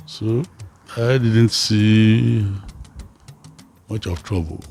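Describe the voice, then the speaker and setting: A man's voice over music in the background. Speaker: consulting engineer, company founder. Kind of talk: interview answer.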